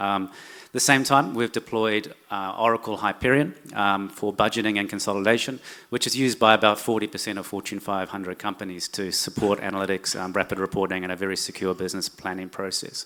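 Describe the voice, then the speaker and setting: A man speaks with a New Zealand accent at a very fast pace. His tone is bright and sharp, his pitch fairly low and his intonation fairly even. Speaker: corporate finance executive. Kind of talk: conference presentation. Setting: stage with audience. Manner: hesitant, many fillers.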